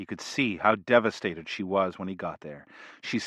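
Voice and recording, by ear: Reading aloud in a natural voice, with fairly even intonation.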